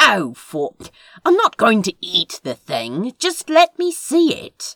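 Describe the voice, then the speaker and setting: The speaker puts on a character voice with a high pitch. The pace is fairly slow. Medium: read story. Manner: dry, sarcastic.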